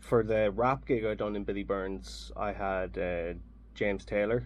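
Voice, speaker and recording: This man has a fairly low pitch. He speaks at a fairly slow pace. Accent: Irish. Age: 30s. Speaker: jazz saxophonist. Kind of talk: radio interview. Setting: radio studio.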